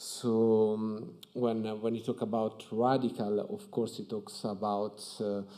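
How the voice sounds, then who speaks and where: In an Italian accent, a man speaks at medium pitch with a dark, mellow tone and a monotone, flat intonation. His pace is fairly slow against a quiet background. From Italy. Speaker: architect. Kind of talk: conference talk. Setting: stage with audience at museum. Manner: hesitant, many fillers. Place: hall. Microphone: podium.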